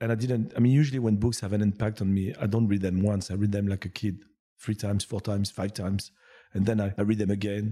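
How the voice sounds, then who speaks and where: A man talks at a fairly quick pace in a fairly low pitch, on a very clean recording with a silent background. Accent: French. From France. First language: French. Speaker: business executive. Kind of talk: casual interview.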